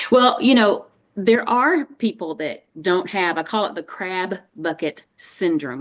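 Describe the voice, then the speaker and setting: A woman with a Texan accent is heard over a quiet background. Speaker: dietitian and nutrition coach. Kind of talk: webinar interview.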